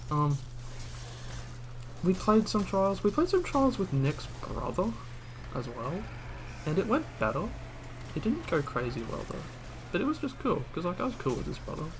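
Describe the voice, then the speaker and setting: At a moderate pace, a man with a high pitch makes very wide pitch swings and takes long, frequent pauses. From Australia. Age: 20s. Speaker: gaming streamer. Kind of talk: casual gameplay chat. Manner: rambling, hesitant with fillers.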